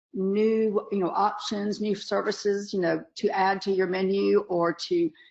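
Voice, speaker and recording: In a Southern US accent, a woman speaks at a medium pitch with fairly even intonation. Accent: Southern US (Georgia). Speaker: dentist and webinar lecturer. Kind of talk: webinar lecture. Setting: online webinar, camera off. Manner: casual, chatty with many fillers.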